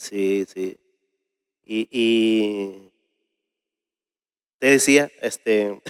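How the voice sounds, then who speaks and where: A man speaks at a fairly low pitch and a very slow pace, with long, frequent pauses. The sound is dry and close, with no echo. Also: fairly even intonation. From Peru, Ayacucho (Huanca Sancos). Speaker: folk singer. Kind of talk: interview.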